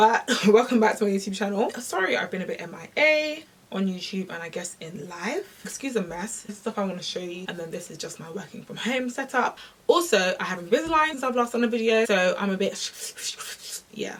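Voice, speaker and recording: Over noticeable background noise, a woman with a British accent talks with hardly any pauses, lively intonation, big swings in loudness and a fairly high pitch. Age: 20s. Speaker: fitness content creator. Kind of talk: casual talk to camera.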